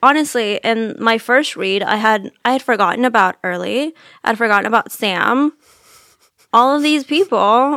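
With a bright, sharp tone and an animated delivery, a woman talks at a moderate pace in a fairly high pitch with ordinary pitch variation, the sound dry and close with no echo. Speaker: podcast host. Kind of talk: casual chat about books. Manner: animated, joking.

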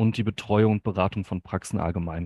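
A man's fairly quick speech, dry and close with no echo, over a quiet background. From Hamm, Ruhr area, Germany. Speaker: dental billing consultant. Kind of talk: podcast interview.

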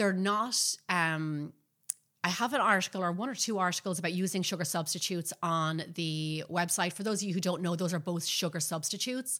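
A woman with an Irish accent, fairly low-pitched and bright and sharp in tone, at a fairly quick pace with ordinary pitch variation, on a very clean recording with a silent background. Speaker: baking show host and professional baker. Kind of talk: live-streamed podcast chat. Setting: live video stream.

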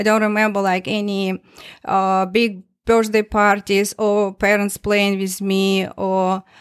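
On a very clean recording with a silent background, a woman speaks at a medium pitch in a monotone, flat intonation. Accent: Russian. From Russia. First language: Russian. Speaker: testimony giver. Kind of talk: testimony told in interview conversation. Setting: studio, in person. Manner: halting, emotional, laughs often.

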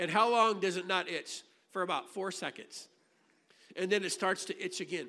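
Heard in a very clean recording with a silent background, a man with an American accent uses a raised, projected voice with a high pitch and a bright, sharp tone, keeping a moderate pace with fairly even intonation and long, frequent pauses. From US Midwest, Illinois. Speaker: pastor. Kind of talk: sermon. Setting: church.

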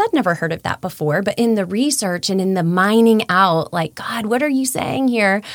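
Very wide pitch swings mark this fairly quick delivery with hardly any pauses. Noticeable background noise runs underneath. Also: woman. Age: 40s. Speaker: podcast co-host. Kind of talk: casual chat.

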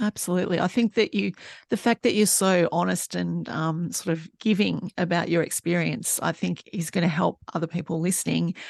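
A woman's fairly low voice with vocal fry and ordinary pitch variation, moderate in pace with hardly any pauses, in a dry, close sound with no echo and a quiet background. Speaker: podcast host. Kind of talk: casual interview chat.

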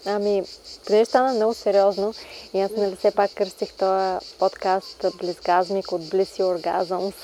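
A woman talks at a fairly slow pace and medium pitch, her tone dark and mellow and her intonation monotone and flat. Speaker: podcast host. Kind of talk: casual interview chat. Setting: outdoors in a garden.

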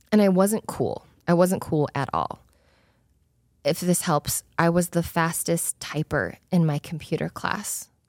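A woman with an American accent has a normal speaking voice, fairly low in pitch, with fairly even intonation at a fairly slow pace. The sound is dry and close with no echo, on a very clean recording with a silent background. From Utah, US (Spanish Fork). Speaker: podcast host, former corporate executive. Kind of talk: solo podcast monologue. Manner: casual, conversational.

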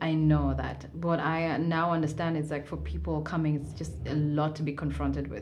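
A woman speaks at a moderate pace with hardly any pauses. Noticeable background noise runs underneath. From Kenya, Mombasa. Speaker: live music event organizer. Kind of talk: interview.

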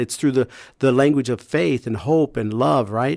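At a moderate pace, this is a normal speaking voice with ordinary pitch variation, heard dry and close with no echo in a very clean recording with a silent background. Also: man. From US Midwest, rural Iowa. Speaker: pastor and nonprofit founder. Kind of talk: testimony.

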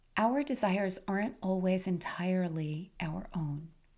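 A somewhat breathy voice with a dark, mellow tone. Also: woman. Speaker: podcast host, health and life coach. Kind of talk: solo podcast talk.

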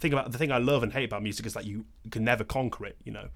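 A man's very fast speech at a medium pitch, with fairly even intonation and vocal fry, on a very clean recording with a silent background. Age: young. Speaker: podcast host and musician. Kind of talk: casual interview chat. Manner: halting, filler-heavy.

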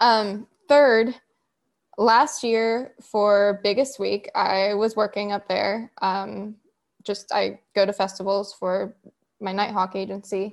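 With an American accent, a woman of medium pitch speaks in a plain, everyday voice against a quiet background. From West Virginia. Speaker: birding marketing consultant. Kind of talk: casual group chat. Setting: video call.

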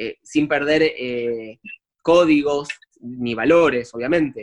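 A man's fairly high voice at a very slow pace, in a dry, close sound with no echo. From Argentina, Buenos Aires. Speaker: actor. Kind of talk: casual interview chat. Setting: remote call from home.

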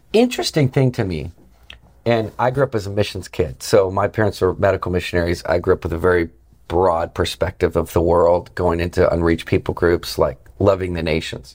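Recorded very cleanly with a silent background, a man with an American accent and a very deep, low pitch speaks at a fairly quick pace with ordinary pitch variation. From Montana, then Virginia from age 12. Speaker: podcast host, evangelist. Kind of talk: interview conversation. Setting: Capitol Hill venue. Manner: animated.

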